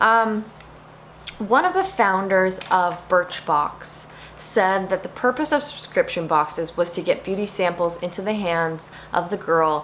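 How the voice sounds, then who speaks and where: Noticeable noise sits in the background. The speaking pace is moderate. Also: woman. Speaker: beauty vlogger. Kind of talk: casual talk to camera, product review. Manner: animated.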